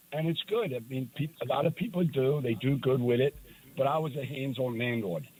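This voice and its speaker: The man's voice is somewhat breathy and medium in pitch. He moves at a fairly quick pace. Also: ordinary pitch variation. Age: 60s. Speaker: retired landlord. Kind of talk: casual chat.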